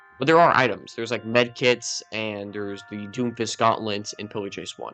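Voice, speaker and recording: Music plays behind a man speaking at medium pitch. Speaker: gaming YouTuber. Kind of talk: casual game review commentary. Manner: casual, filler-heavy; loud.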